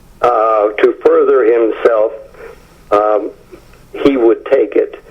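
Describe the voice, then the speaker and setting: This man's very slow speech comes through over noticeable background noise. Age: 70s. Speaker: author, film historian. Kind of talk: interview. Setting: phone call. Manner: hesitant with frequent fillers.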